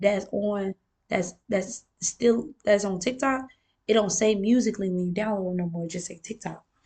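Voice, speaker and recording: A somewhat breathy woman's voice. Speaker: vlogger. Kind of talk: casual monologue vlog.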